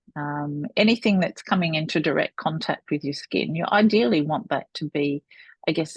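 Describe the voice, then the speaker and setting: A woman with a very deep, low pitch and a somewhat breathy voice speaks at a moderate pace with lively intonation over a quiet background. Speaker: business founder. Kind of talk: interview.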